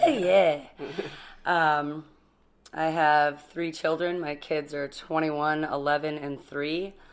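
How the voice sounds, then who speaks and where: At a very slow pace with long, frequent pauses, a woman speaks in a very deep, low voice that stays monotone and flat. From Alaska, Kenai Peninsula (Sterling, Ninilchik). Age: 30s. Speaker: person in recovery sharing life story. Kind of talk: interview.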